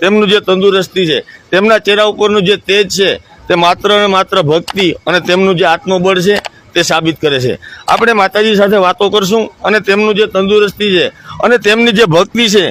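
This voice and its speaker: High-pitched male speech showing ordinary pitch variation. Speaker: video blogger interviewing a holy woman. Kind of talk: casual interview with narration to camera.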